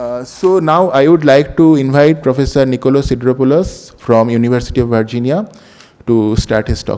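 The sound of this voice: With a dark, mellow tone, a man talks at a moderate pace and medium pitch, using ordinary pitch variation and few pauses.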